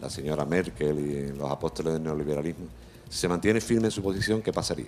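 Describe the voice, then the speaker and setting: Music plays in the background as a man talks at a fairly quick pace. His pitch is very deep and low, with ordinary variation. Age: 60s. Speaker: audience member asking a question. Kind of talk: audience question.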